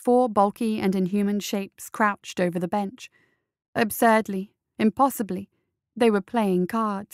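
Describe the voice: Someone reads aloud plainly. The background is quiet.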